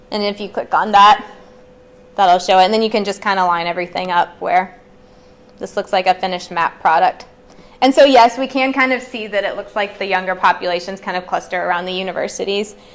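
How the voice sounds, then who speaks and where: Noticeable background noise runs under the speech. The pace is fairly quick, with ordinary pitch variation. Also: woman, medium pitch for a woman. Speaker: librarian. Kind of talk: tutorial. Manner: fast.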